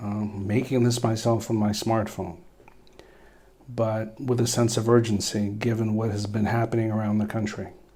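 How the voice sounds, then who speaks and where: Monotone, flat intonation from a man at medium pitch with an American accent, in audible room echo. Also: moderate pace. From Philadelphia, US Northeast. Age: 50s. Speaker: attorney and former police officer. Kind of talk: personal video message.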